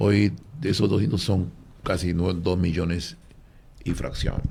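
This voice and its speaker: His voice is very deep and low, with a dark, mellow tone and vocal fry. The man speaks at a moderate pace. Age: 60s. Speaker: former athlete and religious speaker. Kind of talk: radio panel discussion.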